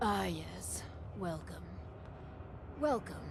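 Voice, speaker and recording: A put-on character voice over loud background noise. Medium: video game. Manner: formal, polite, measured.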